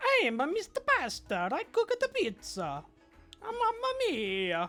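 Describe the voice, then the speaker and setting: In a put-on character voice with an Italian accent, someone speaks at an extremely high pitch, raised and projected, at a fairly slow pace over faint background music. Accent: fake Italian. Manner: comedic, exaggerated.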